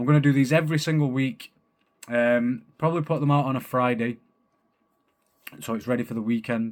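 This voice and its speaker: A man with a strong Manchester accent talks at a fairly quick pace and a medium pitch. His speech is broken by long, frequent pauses. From Manchester, northern England. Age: 30s. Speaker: podcast host. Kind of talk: casual monologue. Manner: animated.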